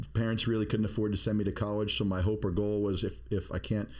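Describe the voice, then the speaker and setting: A man with an American accent talks at a very fast pace in a very deep, low voice with a dark, mellow tone, and the room echo is audible. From Maine, US (Bath). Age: 50s. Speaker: podcast co-host, security expert. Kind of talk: casual chat. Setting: studio.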